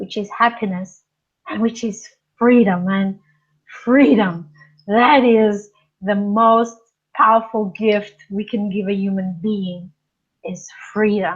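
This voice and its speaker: Speaking in a Portuguese accent, a woman talks at a very slow pace with long, frequent pauses. Her medium-pitched voice is somewhat breathy, and her intonation is fairly even. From Portugal. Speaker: life coach. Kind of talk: interview.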